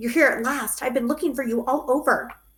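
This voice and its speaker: Put-on character voice from a woman, high in pitch with fairly even intonation. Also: fairly quick pace. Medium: read story.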